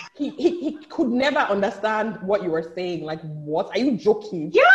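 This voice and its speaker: A woman's animated voice with very wide pitch swings, a fairly quick pace and noticeable background noise. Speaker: business executive, social advocate and author. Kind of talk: casual chat. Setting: video call.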